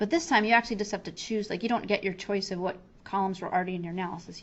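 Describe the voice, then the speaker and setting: A woman's voice of medium pitch. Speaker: software trainer. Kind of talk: tutorial. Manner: fast; casual, with fillers.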